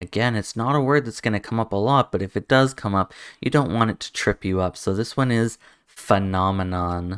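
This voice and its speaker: On a very clean recording with a silent background and a dry, close sound with no echo, a man with a Canadian accent uses a normal speaking voice, fairly low in pitch with ordinary pitch variation. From Canada. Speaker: English pronunciation teacher. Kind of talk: tutorial. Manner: slow, deliberate word repetition.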